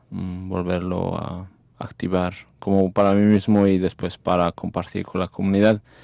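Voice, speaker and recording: Very slowly, a man speaks at a very deep, low pitch with a dark, mellow tone, on a very clean recording with a silent background. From Mexico. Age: 40s. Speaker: community activist. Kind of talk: casual chat. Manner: halting, many fillers.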